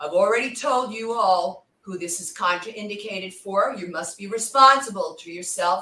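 A woman with a plain, everyday voice at a moderate pace. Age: 60s. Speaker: fitness instructor. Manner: instructional, cueing reps with steady commands; warm, friendly.

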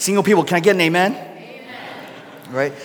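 Over noticeable background noise, a man with a high-pitched voice talks at a fairly quick pace with ordinary pitch variation. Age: 30s. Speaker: pastor. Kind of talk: sermon.

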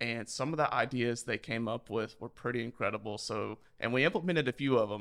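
A man speaks in a Mississippi Gulf Coast accent at a medium pitch with ordinary pitch variation. The recording is very clean, with a silent background. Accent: Southern US, Mississippi Gulf Coast. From US Gulf Coast Mississippi. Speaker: school district communications specialist. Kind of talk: casual podcast interview.

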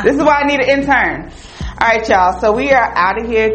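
A woman speaks in an American accent. Noticeable background noise runs behind her. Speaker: podcast host. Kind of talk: casual chat with a friend. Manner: loud, animated, talkative.

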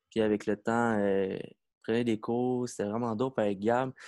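Speech comes at a fairly slow pace with monotone, flat intonation, a quiet background, and a dry, close sound with no echo. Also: man. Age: 20s. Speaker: breakdancer. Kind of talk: casual chat.

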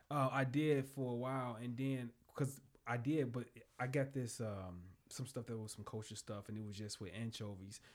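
In an American accent, a man talks with an ordinary speaking voice at a medium pitch, moderate pace and fairly even intonation. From Chicagoland area, northwest Indiana. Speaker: restaurant owner and chef. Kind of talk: casual interview chat. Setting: podcast studio.

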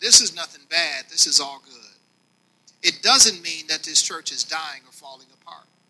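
This is a plain, everyday voice with ordinary pitch variation and a moderate pace. Its loudness swings widely. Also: man, fairly high pitch for a man. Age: 50s. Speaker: pastor. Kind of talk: sermon.

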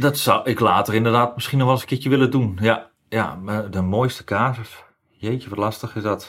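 The recording is very clean, with a silent background. A man speaks at medium pitch with fairly even intonation. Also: moderate pace. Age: 40s. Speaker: ambulance driver. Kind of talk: interview. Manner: halting, many fillers.

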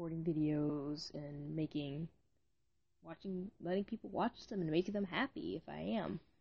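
Her voice is somewhat breathy and sits at a fairly low pitch for a woman. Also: ordinary pitch variation, moderate pace. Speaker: amateur fiction writer and podcaster. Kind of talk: casual solo monologue. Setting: home recording, late at night. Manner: rambling, hesitant.

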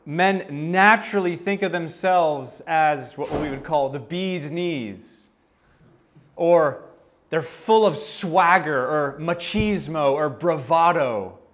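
With audible room echo, a man with an American accent speaks very slowly at a high pitch, his pitch varying in an ordinary way. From United States. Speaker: pastor. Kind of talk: sermon.

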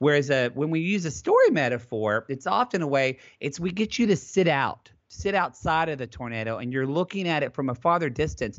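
An ordinary speaking voice with an American accent moves at a fairly quick pace with lively intonation and hardly any pauses. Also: man, fairly high pitch for a man. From Southern Oklahoma. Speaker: therapist and advice podcaster. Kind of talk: interview conversation.

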